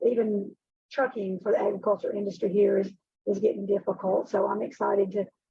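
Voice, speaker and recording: A woman's medium-pitched voice with an Alabama accent, monotone and flat in intonation, at a fairly quick pace. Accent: Alabama Southern. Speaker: HR director. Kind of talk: video call roundtable.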